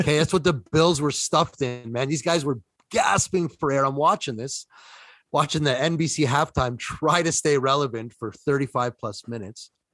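A man with a Toronto accent speaks at a moderate pace in a fairly high pitch. His pitch variation is ordinary, and the sound is dry and close with no echo. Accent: Toronto Canadian. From Toronto, Canada. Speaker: co-host, sports picks. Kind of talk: casual sports banter.

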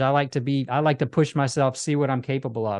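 A man talks at a moderate pace in a plain, everyday voice with a fairly high pitch. His pitch variation is ordinary, and the background is quiet. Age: 40s. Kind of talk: interview.

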